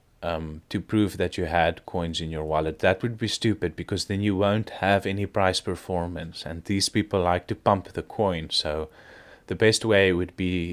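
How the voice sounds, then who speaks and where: A man's very deep, low voice with a non-native accent, on a very clean recording with a silent background. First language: not English. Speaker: crypto video creator. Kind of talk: casual market commentary. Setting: at home. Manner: hesitant, many fillers.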